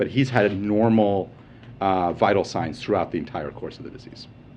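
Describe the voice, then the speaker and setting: With music in the background, a man with a fairly low pitch speaks at a very fast pace. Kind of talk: press briefing answer.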